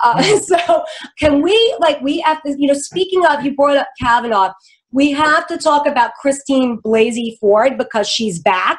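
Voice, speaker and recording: A woman with an American accent, high-pitched, with very wide pitch swings at a moderate pace. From New York. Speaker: political talk show host. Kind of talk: casual political chat. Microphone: studio mic.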